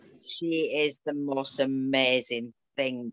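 A woman's very deep, low-pitched voice with a northern English accent and fairly even intonation. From rural northern England. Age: 40s. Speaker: ferret breeder. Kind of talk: interview conversation.

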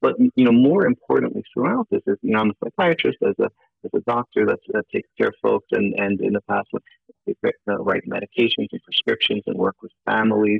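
A man speaks at a fairly quick pace while music plays behind him. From Turkey, born in New York. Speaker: psychiatrist and author. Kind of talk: interview.

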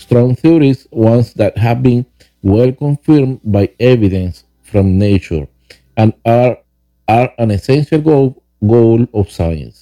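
A man with a Spanish accent speaks very slowly at a medium pitch, with ordinary pitch variation and very even loudness, in a dry, close recording with no echo and music in the background. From Venezuela. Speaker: podcast host, author and rideshare driver. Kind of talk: reading aloud from own book. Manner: halting, with many fillers and repeats.

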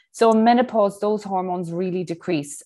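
A woman with an Irish accent, her tone dark and mellow, at a moderate pace, on a very clean recording with a silent background. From Ireland. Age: 40s. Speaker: breathwork instructor and personal trainer. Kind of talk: interview.

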